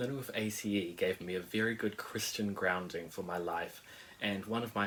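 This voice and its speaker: Speaking at a moderate pace with a New Zealand accent, a man uses a fairly low pitch and fairly even intonation. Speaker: musician and church intern. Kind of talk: testimony.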